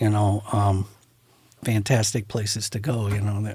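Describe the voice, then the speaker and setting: In an American accent, a man talks in a somewhat breathy voice at a fairly low pitch. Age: 60s. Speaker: photographer. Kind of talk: casual chat.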